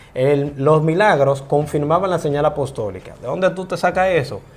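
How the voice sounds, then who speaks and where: A man speaks at a moderate pace in a fairly high pitch. It is an ordinary speaking voice with ordinary pitch variation. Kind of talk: interview.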